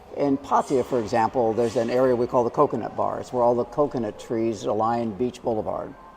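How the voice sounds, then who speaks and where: Over noticeable background noise, a man with an American accent talks fairly quickly in a medium pitch, monotone and flat, with hardly any pauses. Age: 70s. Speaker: expat guest. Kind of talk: casual interview.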